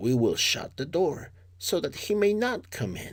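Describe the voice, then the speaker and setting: High-pitched, put-on character voice from a male speaker, moderately paced. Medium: read story.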